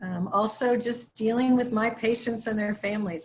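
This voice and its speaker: A woman talks in an American accent with fairly even intonation. Her voice is somewhat breathy. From northern US. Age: 60s. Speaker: hospice chaplain, former attorney. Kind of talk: casual online town hall discussion.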